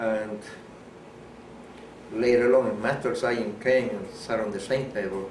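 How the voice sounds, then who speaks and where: A man talks at a fairly slow pace, breaking often into long pauses. His intonation is flat and monotone, and there is noticeable background noise. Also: medium pitch for a man. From Puerto Rico. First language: Spanish. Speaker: war veteran. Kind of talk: interview answer.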